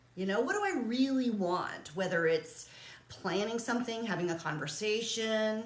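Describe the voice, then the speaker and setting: In audible room echo, a woman speaks with a fairly high pitch. Her tone is animated and her intonation lively. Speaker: realtor and coach. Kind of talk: casual vlog monologue. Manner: fast.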